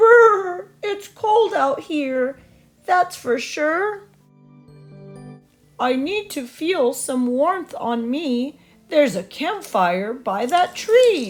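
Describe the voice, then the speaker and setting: A woman's put-on character voice at a very slow pace, with long, frequent pauses and faint music in the background. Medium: read story. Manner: cheerful, sing-song rhyming.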